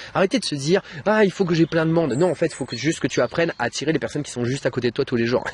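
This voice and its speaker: Somewhat breathy and at a fairly high pitch, a man talks at a very fast pace with a dry, close sound and no echo. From France, Bordeaux. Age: 30s. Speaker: online trainer and YouTuber. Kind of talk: interview and sales pitch.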